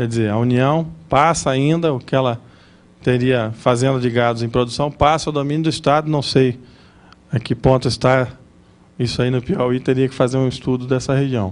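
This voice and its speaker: Long, frequent pauses break up a man's speech. His voice has a medium pitch and fairly even intonation. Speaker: lecturer on property law. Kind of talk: lecture. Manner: fast.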